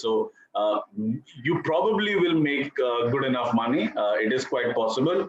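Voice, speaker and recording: A man with an Indian accent speaks over noticeable background noise. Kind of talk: interview answer.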